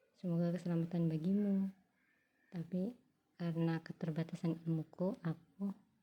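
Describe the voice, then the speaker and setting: A woman speaks quietly at a fairly low pitch, somewhat breathy. Her intonation is monotone and flat. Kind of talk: casual talk to camera, religious musing.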